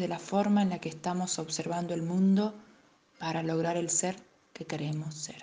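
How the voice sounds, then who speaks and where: A woman talks in a normal speaking voice. Her pace is moderate. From Argentina, Tucumán. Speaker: life coach. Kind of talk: scripted narration.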